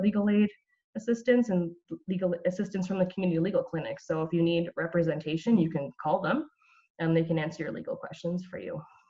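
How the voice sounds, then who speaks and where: A woman with a Canadian accent talks at a very fast pace, her fairly low pitch showing ordinary variation. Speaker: brain injury violence program coordinator. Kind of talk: community presentation.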